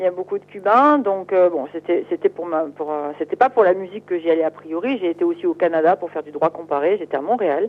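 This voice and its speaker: A woman with an ordinary speaking voice talks at a fairly quick pace with hardly any pauses, her fairly low pitch carried by lively intonation. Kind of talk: interview.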